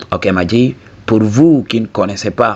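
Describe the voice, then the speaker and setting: With a Senegalese accent, a man speaks against noticeable background noise. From southern Senegal. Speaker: YouTube commentator. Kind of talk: video commentary monologue. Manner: casual, frequent 'ok?' tags.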